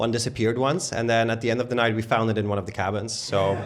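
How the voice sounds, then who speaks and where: A man talks with a Dutch accent. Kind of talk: live panel conversation.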